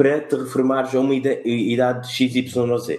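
A man speaks at a fairly slow pace and medium pitch with a dark, mellow tone. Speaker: podcast co-host. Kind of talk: casual chat.

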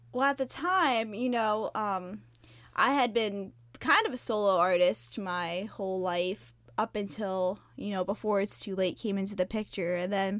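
A woman's medium-pitched voice moves up and down in an ordinary way on a very clean recording with a silent background. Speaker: music blogger and podcast host. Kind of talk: casual interview chat.

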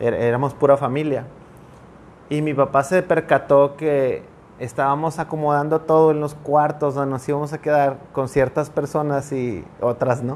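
Fairly high-pitched for a man, his voice moves at a fairly slow pace with monotone, flat intonation. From northern Mexico (Sabinas, Coahuila). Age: 30s. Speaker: pastor. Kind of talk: casual interview chat. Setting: studio with cameras.

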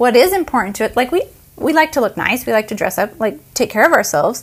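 A high-pitched woman with an American accent. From United States. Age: 40s. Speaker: podcast co-host. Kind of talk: casual chat.

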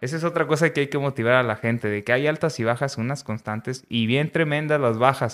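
On a very clean recording with a silent background, a man talks in a plain, everyday voice of medium pitch with ordinary pitch variation. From northern Mexico, Coahuila. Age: 30s. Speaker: nutritionist and government official. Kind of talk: casual interview chat.

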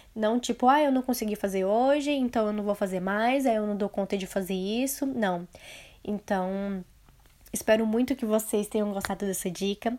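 With a Brazilian accent and a dark, mellow tone, a woman speaks at a fairly high pitch and a moderate pace, with ordinary pitch variation, on a very clean recording with a silent background. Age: 20s. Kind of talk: solo motivational podcast talk.

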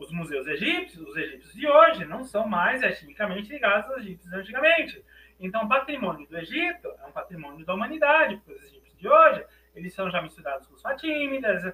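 A high-pitched man in a Brazilian accent, raised and projected, at a fairly quick pace with very wide pitch swings. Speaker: academic author on African philosophy. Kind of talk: lecture.

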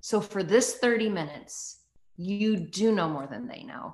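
A woman with a medium pitch speaks in an animated tone over a quiet background. Her pitch swings very widely. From US, rural, born in Canada. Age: 40s. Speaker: author, pastor and TV host. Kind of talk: interview conversation.

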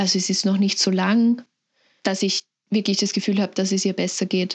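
Over a quiet background, a woman speaks in a somewhat breathy voice. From Lower Austria. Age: 20s. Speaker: sibling of a person with Down syndrome. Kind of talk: interview.

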